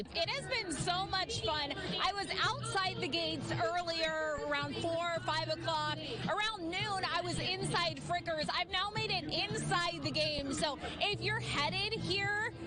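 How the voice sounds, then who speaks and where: Over background music, a woman speaks at a fairly slow pace with hardly any pauses. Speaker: TV news reporter. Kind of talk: live TV news field report.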